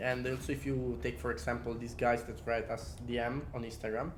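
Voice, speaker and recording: In an Italian accent, a man of medium pitch speaks with ordinary pitch variation and audible room echo around him. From Italy. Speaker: podcast co-host, calisthenics athlete. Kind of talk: casual chat.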